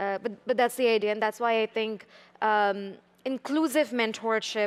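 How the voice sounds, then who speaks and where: In a dry, close recording with no echo, a woman with an Indian accent speaks at a moderate pace in a fairly high voice with fairly even intonation. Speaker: tech startup founder. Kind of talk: panel discussion. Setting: stage with audience.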